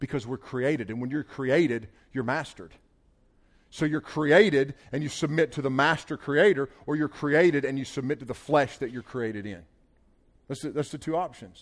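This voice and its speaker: A man with a Southern US accent speaks at a moderate pace in a fairly high voice, his tone animated and his pitch moving in an ordinary way, on a very clean recording with a silent background. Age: 40s. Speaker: pastor. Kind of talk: sermon.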